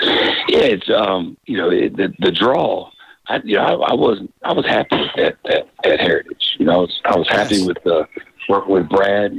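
With very even loudness, a man speaks at a moderate pace with an American accent. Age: 40s. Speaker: high school football coach. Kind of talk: phone interview. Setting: phone call.

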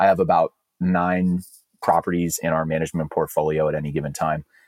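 A man with a Californian accent speaks in a very deep, low pitch. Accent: Californian American. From California, East Bay (Alameda). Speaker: rancher and land manager. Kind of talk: interview. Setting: office.

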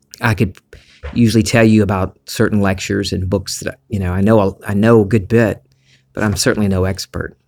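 In a slight Southern US accent, a man speaks with a relaxed tone at a fairly quick pace, his fairly low voice flat and monotone on a very clean recording with a silent background. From US South. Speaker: podcast host. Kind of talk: spiritual monologue. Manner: relaxed, conversational.

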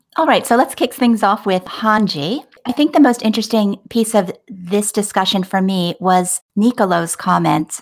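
A woman talks fairly slowly with an unremarkable speaking voice and ordinary pitch variation, captured on a very clean recording against a silent background. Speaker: podcast co-host. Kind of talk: casual chat.

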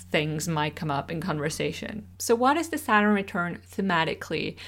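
A woman with a Swiss German accent speaks at a fairly low pitch on a very clean recording with a silent background. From Switzerland. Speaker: astrologer podcaster. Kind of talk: solo podcast introduction.

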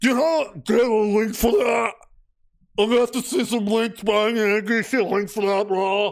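Someone performs a put-on character voice at a fairly high pitch. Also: moderate pace. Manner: whiny, nerdy, demanding.

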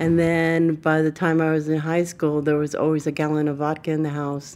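With an American accent, a woman speaks in a very deep, low, dark and mellow voice with flat, monotone intonation. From Southern California, Burbank, Mexican family. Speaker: formerly homeless advocate. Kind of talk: personal testimony.

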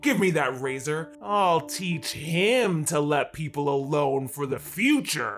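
Over clear background noise, a man with a fairly high pitch talks at a fairly slow pace, with ordinary pitch variation and hardly any pauses. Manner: stubborn, increasingly angry and defiant.

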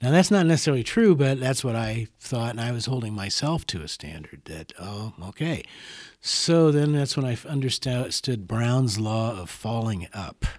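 In an American accent, a man talks at a moderate pace and a medium pitch with lively intonation. He has a plain, everyday voice with big swings in loudness. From Des Moines, Iowa. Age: 60s. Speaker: musician and teacher. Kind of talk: interview conversation.

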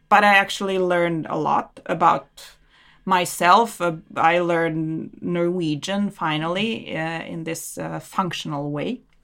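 In a Serbian accent, a woman with a fairly low voice speaks at a fairly slow pace and fairly even intonation, in a very clean recording with a silent background. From Serbia, Belgrade. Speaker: immigrant guest, research advisor. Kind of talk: interview. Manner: laughs often.

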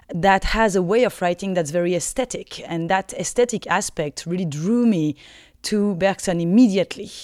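The speaker has a French accent, a moderate pace and ordinary pitch variation. The recording is very clean, with a silent background. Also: woman. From France. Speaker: philosophy lecturer. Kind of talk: interview.

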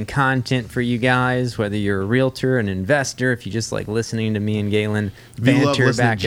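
Using an ordinary speaking voice, a man talks at a fairly quick pace with hardly any pauses, medium pitch and fairly even intonation. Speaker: podcast host. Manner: playful, bantering.

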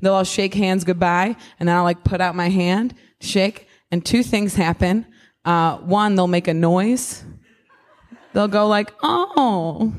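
A woman speaks at a medium pitch with ordinary pitch variation. Her loudness stays very even, and she leaves long, frequent pauses. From US Midwest, Ohio. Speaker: stand-up comedian. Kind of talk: casual chat.

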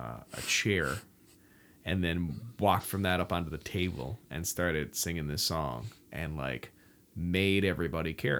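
On a very clean recording with a silent background, a man with a very deep, low pitch and vocal fry speaks with ordinary pitch variation. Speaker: podcast host and touring musician. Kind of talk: casual chat. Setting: home studio.

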